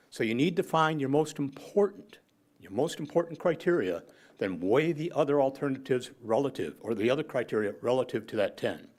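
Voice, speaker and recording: A man's fairly high, fry-edged voice at a fairly quick pace, with lively intonation and big swings in loudness. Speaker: public commenter at city council meeting. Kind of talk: public comment. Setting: city council meeting. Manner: fast.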